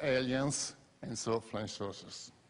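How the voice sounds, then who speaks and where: Using a non-native accent, a man of medium pitch speaks at a fairly slow pace with fairly even intonation. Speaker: professor and UFO researcher. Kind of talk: conference lecture. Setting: conference stage with audience.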